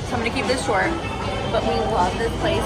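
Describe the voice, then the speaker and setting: Loud music fills the background. Over it, a woman's voice comes through. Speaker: travel vlogger. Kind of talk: casual vlog chat. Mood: relaxed, enthusiastic. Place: bar. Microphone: phone near.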